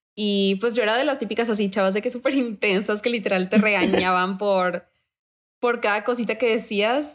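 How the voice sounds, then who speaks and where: With a normal speaking voice, a woman of fairly high pitch speaks at a moderate pace and with fairly even intonation. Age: 20s. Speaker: university student. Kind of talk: interview.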